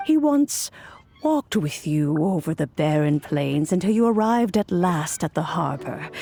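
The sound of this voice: A woman puts on a character voice, low-pitched with a dark, mellow tone and big pitch swings. She speaks at a fairly slow pace over faint background music.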